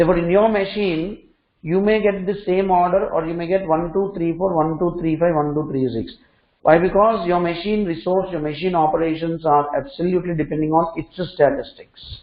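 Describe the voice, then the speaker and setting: A man speaks with a high-pitched voice. His pace is fairly quick. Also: ordinary pitch variation. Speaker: programming instructor. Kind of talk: lecture.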